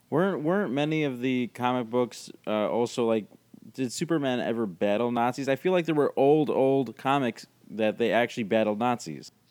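Moderately paced and lively in intonation, this is a normal speaking voice. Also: man, medium pitch for a man. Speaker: podcast co-host. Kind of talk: casual chat.

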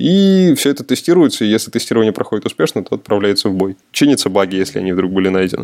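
Using lively intonation, a man with a medium pitch has an ordinary speaking voice. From Udmurtia, Russia (Glazov). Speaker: senior game programmer. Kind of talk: podcast interview. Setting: remote call.

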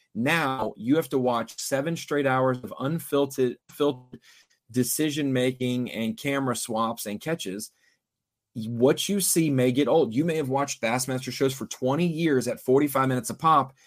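A plain, everyday voice comes from a man at medium pitch and a moderate pace. The recording is very clean, the background silent, and his pitch varies in an ordinary way. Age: 30s. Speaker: fishing TV broadcaster. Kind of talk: casual chat.

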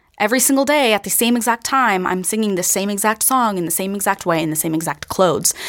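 A woman talks at a very fast pace with hardly any pauses. Her medium-pitched voice has lively intonation. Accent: American. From Pennsylvania. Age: 20s. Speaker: actor and singer. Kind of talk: interview.

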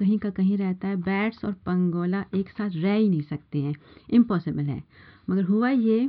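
Here is a woman with a plain, everyday voice, medium in pitch and with ordinary pitch variation. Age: 50s. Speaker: housewife with biochemistry degree. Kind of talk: panel discussion.

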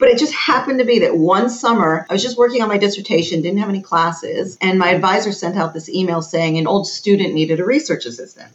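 At a very fast pace with hardly any pauses, a woman with a medium pitch uses lively intonation over noticeable background noise. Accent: American. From United States. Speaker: psychologist and educational consultant. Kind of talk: casual interview chat.

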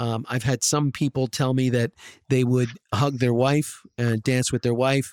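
A man with an unremarkable speaking voice and an American accent, medium pitch, moderate pace, and a dry, close sound with no echo on a very clean recording with a silent background. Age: 50s. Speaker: podcast host. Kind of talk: scripted narration; interview.

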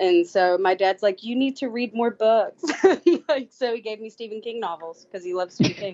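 With lively intonation, a woman speaks in a dark, mellow tone, the sound dry and close with no echo. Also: medium pitch for a woman, moderate pace.

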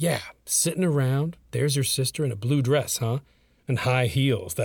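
The voice reading aloud sounds natural. Its pitch varies in an ordinary way.

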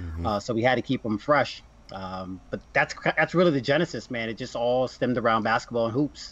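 An unremarkable speaking voice with an American accent comes over a quiet background. It moves at a fairly quick pace with lively intonation. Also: man, medium pitch for a man. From New Jersey. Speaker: sneaker collector and influencer. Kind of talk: casual interview chat.

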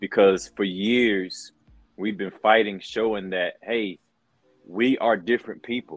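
In a plain, everyday voice, a man speaks at a fairly slow pace with a fairly low pitch and fairly even intonation. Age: 40s. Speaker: pro wrestler and color commentator. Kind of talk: interview.

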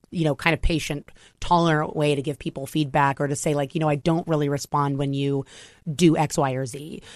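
A woman with an American accent speaks at a fairly quick pace in a very deep, low pitch. The sound is dry and close with no echo, over a quiet background. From US Mid-Atlantic, Maryland. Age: 30s. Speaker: screenwriter and director. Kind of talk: interview.

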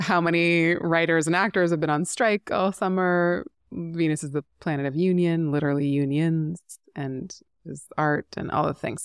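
In a normal speaking voice, a woman with a Canadian accent speaks at a moderate pace with a fairly low pitch and fairly even intonation. The recording is very clean, with a silent background and a dry, close sound with no echo. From Canada, rural British Columbia. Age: 40s. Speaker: astrologer and author. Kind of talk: casual interview chat.

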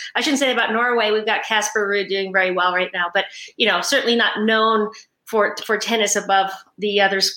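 A woman with an American accent uses a normal speaking voice with fairly even intonation. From New York. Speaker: former tennis player and college coach. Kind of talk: interview.

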